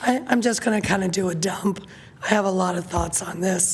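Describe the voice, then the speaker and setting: Over noticeable background noise and with audible room echo, a woman talks at a moderate pace and medium pitch. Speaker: city council member. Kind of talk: council meeting discussion.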